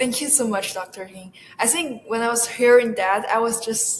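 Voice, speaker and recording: A woman with a Chinese accent speaks at a fairly high pitch with ordinary pitch variation. Noticeable background noise runs behind her. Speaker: university student research assistant. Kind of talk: interview. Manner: halting, many fillers.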